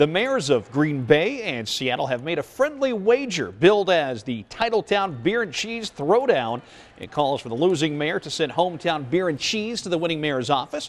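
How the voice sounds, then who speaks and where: A man talks in a fairly high pitch with very wide pitch swings and big swings in loudness, hardly pausing at all. Noticeable background noise runs underneath. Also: moderate pace. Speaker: TV news anchor and reporter. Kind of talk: TV news anchoring.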